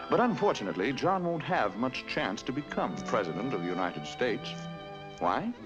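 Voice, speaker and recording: Music plays in the background behind a man at a medium pitch. He talks at a moderate pace with very wide pitch swings. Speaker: narrator. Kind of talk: educational cartoon narration. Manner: wry, conversational. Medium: cartoon.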